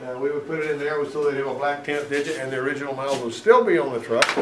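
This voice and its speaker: A man with a Southern US accent and a fairly high pitch, ordinary pitch variation, audible room echo and noticeable background noise. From US South, Alabama. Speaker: auto mechanic instructor. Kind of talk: technical presentation to a class. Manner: conversational, folksy.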